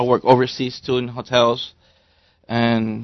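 A man with an American accent talks at a medium pitch. His pace is fairly slow and his intonation monotone and flat.

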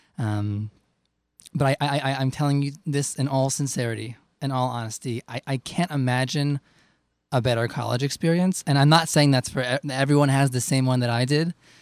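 Dry and close with no echo, this very clean recording with a silent background has a man speaking fairly quickly at a medium pitch with fairly even intonation. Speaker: singer. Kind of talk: casual interview.

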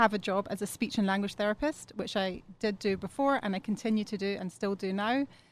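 In a normal speaking voice, a woman talks at medium pitch. Her pace is fairly quick, with ordinary pitch variation. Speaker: relocation consultant. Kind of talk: interview.

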